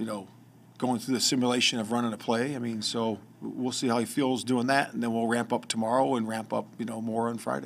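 Light background noise accompanies a man speaking at a fairly quick pace. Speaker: head coach. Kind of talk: press conference answers. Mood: calm, measured. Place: hall. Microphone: podium.

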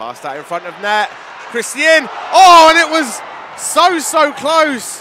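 A man's raised, projected voice at an extremely high pitch, fairly slow in pace, with lively intonation, an animated tone and big swings in loudness, over noticeable background noise. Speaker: ice hockey commentator. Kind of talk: live-style play-by-play ice hockey commentary over match highlights. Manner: animated with frequent verbal stumbles and repeated words.

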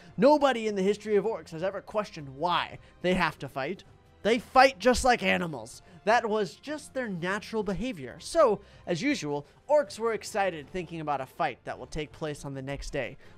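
A man at a moderate pace, with big swings in loudness and faint music in the background. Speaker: gaming streamer.

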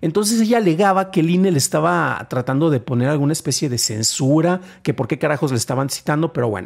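A man in a Mexican accent at a very fast pace, hardly any pauses, against a quiet background. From Mexico. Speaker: tech news podcast host; tech news host. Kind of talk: news reading and commentary. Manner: stammering at times; conversational, with fillers. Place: home room. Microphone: studio mic.

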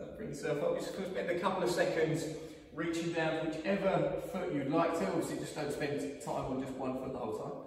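There is strong room echo and light background noise. A man speaks at a high pitch. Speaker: fitness coach. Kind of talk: workout instruction. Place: gym. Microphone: camera far.

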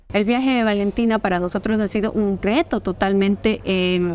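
With music in the background, a woman speaks at a moderate pace with ordinary pitch variation and a dry sound with no echo. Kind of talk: interview answer. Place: hall. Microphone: lapel.

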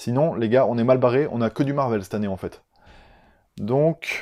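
A man with a southern French accent talks at a fairly quick pace in a medium pitch with a dark, mellow tone. His pitch variation is ordinary, and the background is quiet. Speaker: film youtuber. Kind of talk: casual vlog monologue. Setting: home recording on a camera that cuts out. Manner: animated. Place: home room.

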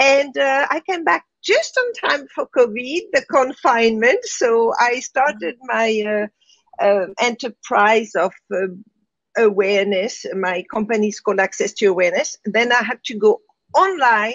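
A woman's fairly high voice with a French accent, very wide pitch swings and a fairly slow pace. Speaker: spiritual teacher. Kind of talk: interview. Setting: live online broadcast.

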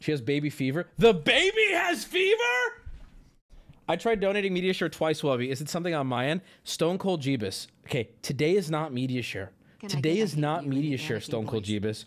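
The speaker is a man with lively intonation. He talks fairly quickly. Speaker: livestreamer. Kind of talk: casual stream chat. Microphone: studio mic.

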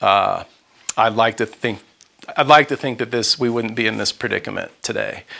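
The speaker has an American accent. The intonation stays monotone and flat. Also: man. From Texas (Houston). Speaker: author and journalist. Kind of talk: lecture. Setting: room with audience. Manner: halting. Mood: earnest, somber. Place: home room. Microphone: lapel.

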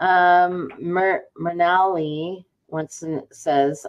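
A woman's voice with fairly even intonation against a quiet background. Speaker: webinar moderator on the training team. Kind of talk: live webinar moderation. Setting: online webinar. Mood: warm, relaxed. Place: office. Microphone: webcam.

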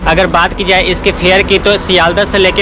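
Music plays in the background as a man talks at a fairly slow pace, the sound dry with no echo. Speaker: travel vlogger. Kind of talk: casual vlog chat. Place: station. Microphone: phone near.

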